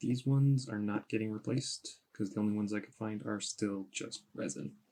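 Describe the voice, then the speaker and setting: This man's voice sits fairly low and his intonation is lively. He mumbles his words. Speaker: costume maker. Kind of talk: tutorial. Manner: mumbling.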